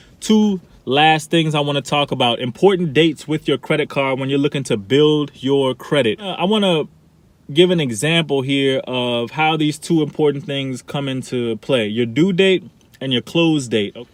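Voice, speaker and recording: Speaking with an animated tone, a man uses a fairly high pitch, ordinary pitch variation, and a moderate pace. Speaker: personal finance youtuber. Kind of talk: casual tutorial.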